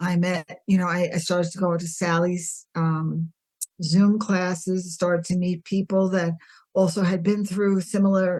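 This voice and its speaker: Speaking in a flat monotone, a woman uses a fairly low pitch and a fairly slow pace, and her voice is somewhat breathy. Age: 60s. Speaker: podcast guest sharing health story. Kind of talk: interview testimony.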